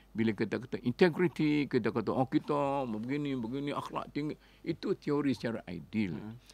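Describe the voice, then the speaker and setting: Dry sound with no echo carries a man speaking at a moderate pace. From Kelantan, Malaysia; Malaysia. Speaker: Islamic scholar, professor; professor. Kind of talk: radio interview talk. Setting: radio studio. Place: studio. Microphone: studio mic.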